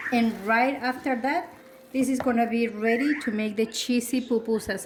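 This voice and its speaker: A woman speaks with a Spanish accent at a fairly slow pace, her pitch moving in an ordinary way. Background noise is noticeable. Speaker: cooking youtuber. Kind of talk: cooking tutorial. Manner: casual, with frequent fillers.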